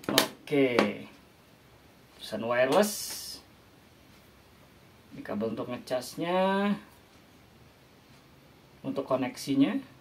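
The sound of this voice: Slowly and with long, frequent pauses, a man speaks with ordinary pitch variation. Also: medium pitch for a man.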